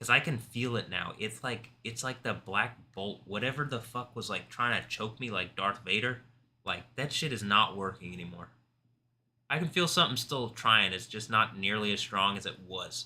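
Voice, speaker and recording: A man at a moderate pace, bright and sharp in tone, with ordinary pitch variation in a very clean recording with a silent background. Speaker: livestreamer. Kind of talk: casual livestream monologue. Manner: soft-spoken; rambling, halting.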